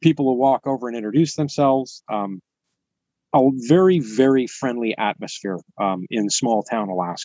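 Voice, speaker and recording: A man with a West Coast US accent talks at a moderate pace in a dark, mellow tone, his intonation lively and the sound dry and close with no echo. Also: medium pitch for a man. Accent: General American, West Coast. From US West Coast, San Francisco Bay Area. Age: 50s. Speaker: YouTuber living off grid. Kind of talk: podcast interview.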